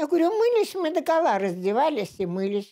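A woman is speaking against a quiet background. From Leningrad, Russia; Russia. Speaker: war veteran. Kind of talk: oral history interview. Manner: halting. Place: home room.

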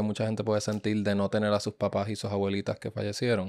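A lone man's voice, the surroundings quiet. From Puerto Rico (Ponce); Puerto Rico. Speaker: podcast host. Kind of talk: casual interview. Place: studio. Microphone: studio mic.

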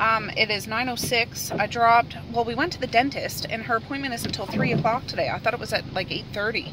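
Over noticeable background noise, a woman talks at a fairly quick pace, the sound dry with no echo. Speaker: family vlogger. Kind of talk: casual vlog chat. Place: car. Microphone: phone near.

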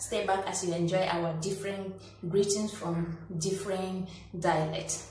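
Amid light background noise and audible room echo, a woman with a Nigerian accent speaks at a fairly slow pace in a medium pitch with monotone, flat intonation. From Nigeria, Cross River State. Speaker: small youtuber. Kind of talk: casual talk to camera. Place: home room. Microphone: phone near.

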